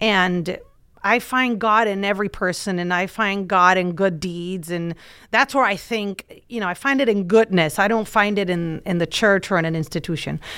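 On a very clean recording with a silent background, a woman of medium pitch speaks at a moderate pace in a bright, sharp tone with ordinary pitch variation. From Puerto Rico. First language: Spanish. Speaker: TV reporter. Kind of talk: casual chat.

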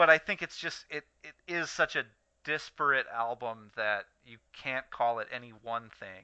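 Using a normal speaking voice at a medium pitch, a man talks at a moderate pace with lively intonation and big swings in loudness. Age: 20s. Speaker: podcast co-host. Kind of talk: casual chat.

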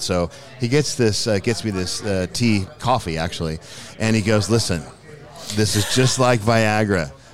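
A man speaks with a fairly low pitch and ordinary pitch variation. Noticeable background noise is present. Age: 50s. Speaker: painter and musician. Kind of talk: casual chat. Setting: live recording at an event.

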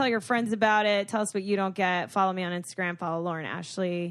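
In a plain, everyday voice with an American accent, a woman speaks at a fairly quick pace and medium pitch against a quiet background. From Florida, Boca Raton. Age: 20s. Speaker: podcast co-host. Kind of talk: casual chat.

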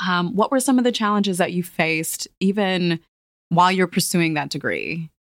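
At a moderate pace and medium pitch, a woman talks in a normal speaking voice with ordinary pitch variation, the sound dry and close with no echo. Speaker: podcast host and magazine editor. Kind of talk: casual interview. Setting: studio.

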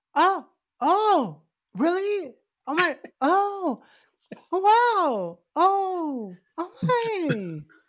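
A put-on character voice with an extremely high pitch moves at a very slow pace with long, frequent pauses. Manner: mocking, fake surprised.

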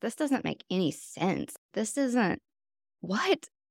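A woman speaks with a North Carolina accent. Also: dry, close sound with no echo. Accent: Southern US (North Carolina). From US South, North Carolina. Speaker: meditation teacher. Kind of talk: dharma talk.

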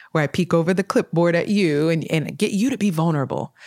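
Recorded dry and close with no echo, a woman with a Californian accent speaks at a moderate pace, her fairly low voice carrying lively intonation. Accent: Californian American English. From Sacramento, California. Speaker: mental health first aid responder. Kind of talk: casual interview.

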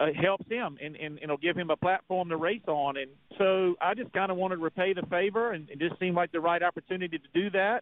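This man speaks at a very fast pace with a high pitch. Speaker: race car driver. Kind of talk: interview.

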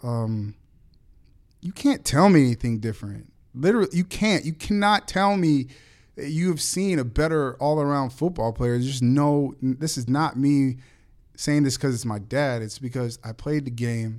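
A man with an American accent and a fairly high pitch, an ordinary speaking voice, moderate pace and lively intonation, on a very clean recording with a silent background. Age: 30s. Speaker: podcast co-host, athlete's son. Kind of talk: casual chat. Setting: studio.

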